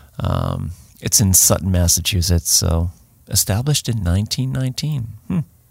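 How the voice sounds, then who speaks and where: The voice is somewhat breathy, with a Boston accent and ordinary pitch variation. The sound is dry and close, with no echo. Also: man. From Boston area. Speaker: hiking and search and rescue podcast host. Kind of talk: casual chat.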